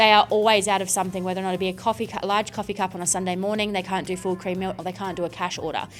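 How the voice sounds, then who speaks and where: Talking in an Australian accent at a medium pitch, a woman goes at a very fast pace with hardly any pauses while music plays in the background. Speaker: home staging business owner. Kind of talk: casual chat. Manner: loud; animated.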